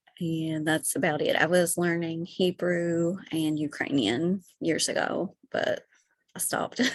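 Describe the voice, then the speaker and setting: With a Kentucky accent, a woman speaks at a fairly low pitch and a fairly slow pace, keeping her intonation fairly even. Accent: unique accent, Kentucky. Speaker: stand-up comedian and writer. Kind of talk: casual interview. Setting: podcast recording.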